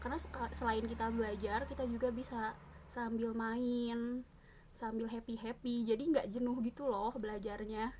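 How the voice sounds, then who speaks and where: Noticeable background noise sits behind a woman with a fairly high pitch. She speaks at a moderate pace with monotone, flat intonation. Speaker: teacher-training student. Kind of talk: casual video presentation. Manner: hesitant, many fillers.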